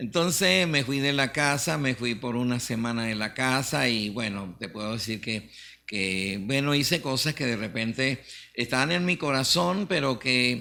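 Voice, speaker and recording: At a fairly slow pace, a man speaks with a medium-pitched voice, a bright, sharp tone and lively intonation. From Venezuela, Mérida Andes. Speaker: pastor. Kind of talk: testimony. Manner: halting, many fillers.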